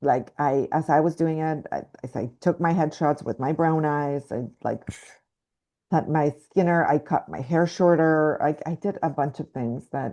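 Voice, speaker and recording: With a slight Mexican accent, a woman speaks in a very deep, low pitch and a dark, mellow tone, her pitch varying in an ordinary way over a quiet background. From Mexico. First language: Spanish. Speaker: actress. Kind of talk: interview. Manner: halting, many fillers.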